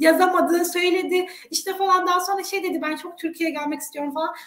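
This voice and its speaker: Heard with audible room echo, a woman speaks at an extremely high pitch. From Turkey. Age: 30s. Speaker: education consultant; guest. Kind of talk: interview. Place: home room. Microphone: webcam.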